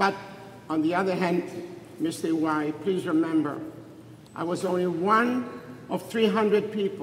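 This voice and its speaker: Amid noticeable background noise and audible room echo, a man with a high pitch and ordinary pitch variation talks at a moderate pace with long, frequent pauses. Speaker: Holocaust survivor. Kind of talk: speech at memorial event. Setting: synagogue event with audience.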